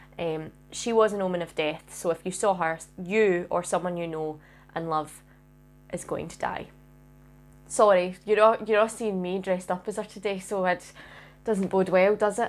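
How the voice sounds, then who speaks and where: A woman with a Scottish accent speaks at a medium pitch and moderate pace, with fairly even intonation and long, frequent pauses. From Scotland. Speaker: makeup artist YouTuber. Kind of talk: makeup tutorial. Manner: casual, chatty.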